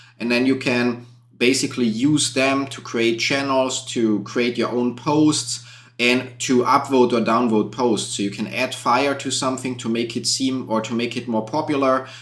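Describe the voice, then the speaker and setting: Speaking with a German accent, a man keeps a medium pitch and a monotone, flat intonation at a moderate pace. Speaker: YouTube content creator. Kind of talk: live stream Q&A. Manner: casual, with fillers.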